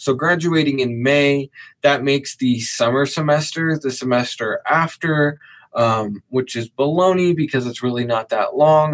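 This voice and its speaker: A normal speaking voice from a man, fairly high in pitch with ordinary pitch variation, at a moderate pace on a very clean recording with a silent background. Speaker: podcaster and content creator. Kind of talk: casual podcast monologue. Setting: live stream recording session.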